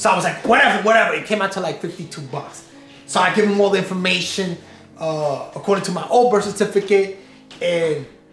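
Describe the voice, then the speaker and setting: Music plays in the background and room echo is audible as a man talks at a very fast pace in an animated tone, his high pitch showing ordinary variation. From Puerto Rico, raised in US mainland. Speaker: family vlogger. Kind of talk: casual storytelling to camera.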